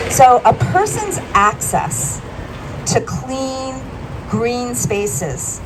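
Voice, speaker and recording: The speech moves at a very slow pace, with audible room echo and noticeable background noise. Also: woman. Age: 60s. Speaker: health policy professional, resident speaker. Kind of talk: public speech at rally. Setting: outdoors at press conference.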